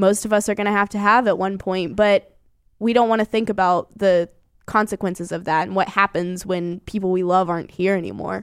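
Fairly quick and fairly even in intonation, a woman talks in an unremarkable speaking voice. The recording is very clean against a silent background. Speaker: radio host. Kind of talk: casual chat.

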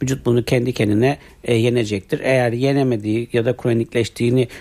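A man at a medium pitch with a dark, mellow tone and a fairly quick pace, on a very clean recording with a silent background. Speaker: internal medicine doctor. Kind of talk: radio health interview. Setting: radio studio. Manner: formal, explanatory.

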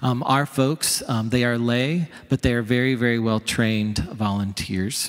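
This man speaks at a fairly slow pace with hardly any pauses and very even loudness. His medium pitch shows ordinary variation. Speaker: pastor. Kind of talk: announcement. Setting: church. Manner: halting.

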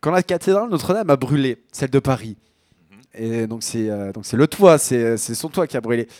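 A man with a slight Picard accent and lively intonation at a moderate pace, in a dry, close sound with no echo on a very clean recording with a silent background. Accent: Picard-tinged northern French. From Picardie, northern France. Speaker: radio show host, music selector. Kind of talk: casual chat. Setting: studio.

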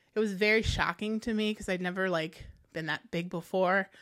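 The recording is very clean, with a silent background. A woman with a Midwestern American accent speaks at medium pitch with ordinary pitch variation. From US Midwest, Quad Cities (Davenport, Iowa). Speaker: author and publisher. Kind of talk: casual interview.

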